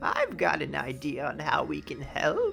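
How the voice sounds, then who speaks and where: Someone uses a put-on character voice at a moderate pace. Background noise is clearly audible. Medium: read story.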